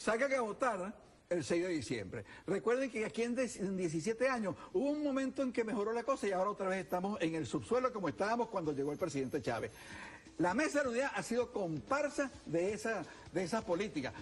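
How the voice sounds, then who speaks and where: A high-pitched man talks at a very fast pace, his pitch swinging very widely. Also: very even loudness. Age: 70s. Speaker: political candidate. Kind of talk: TV interview. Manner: animated.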